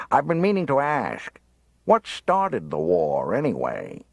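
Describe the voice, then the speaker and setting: A man puts on a drawling character voice, speaking at a moderate pace. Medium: read story. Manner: drawling, sarcastic.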